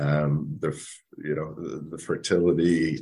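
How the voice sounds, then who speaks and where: This man has a very deep, low pitch and a dark, mellow tone. He speaks with a monotone, flat intonation. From Nova Scotia. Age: 30s. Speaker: fertility advocate, father. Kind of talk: interview, personal story. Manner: halting, many repetitions and fillers.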